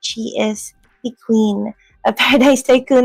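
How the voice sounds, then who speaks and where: A woman with a Filipino accent, fairly high pitch and fairly even intonation, with music in the background. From Philippines. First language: Filipino language. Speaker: Web3 community host. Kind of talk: casual chat.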